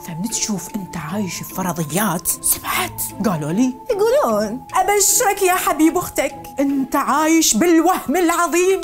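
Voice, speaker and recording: With music playing behind her, a woman speaks at a fairly slow pace in a high voice, swinging her pitch very widely and hardly pausing. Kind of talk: satirical commentary voiceover. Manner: humorous, lively.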